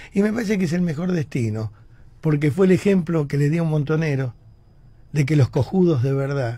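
A man with a dark, mellow, somewhat breathy tone speaks at a moderate pace with lively intonation, in a dry sound with no echo. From Argentina. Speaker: radio host. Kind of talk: radio editorial, opinionated rant. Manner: indignant, forceful. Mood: indignant, combative. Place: studio. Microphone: studio mic.

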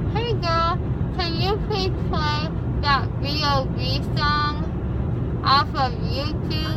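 A woman speaks at a very slow pace. The sound is dry with no echo, and the background noise is loud. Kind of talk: casual vlog chat. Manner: slurred, numb-mouthed post-dentist speech. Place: car. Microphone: phone near.

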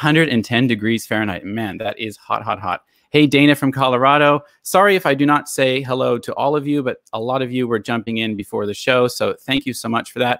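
A man speaks at a fairly quick pace. The background is quiet, and the sound is dry with no echo. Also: ordinary pitch variation. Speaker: live stream host. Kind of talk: live stream hosting chat. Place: home room. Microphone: studio mic.

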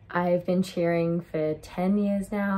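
Somewhat breathy and fairly low in pitch, a woman with an Australian accent speaks in a dark, mellow tone. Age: 20s. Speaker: cheerleader. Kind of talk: tryout video pitch. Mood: friendly, upbeat. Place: home room. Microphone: phone near.

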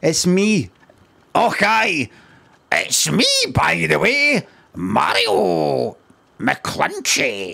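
Putting on a raspy character voice in a Scottish accent, a man speaks at a very slow pace with long, frequent pauses. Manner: jokey, exaggerated.

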